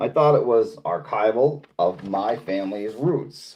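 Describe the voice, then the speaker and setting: This is a man speaking with a Boston accent. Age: 50s. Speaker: live streamer. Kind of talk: casual chat. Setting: livestream reading chat.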